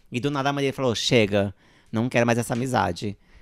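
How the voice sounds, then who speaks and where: Talking at a fairly quick pace, a man uses a plain, everyday voice with medium pitch and ordinary pitch variation. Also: very clean recording, silent background. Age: 40s. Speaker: drag performer and co-host. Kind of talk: casual chat.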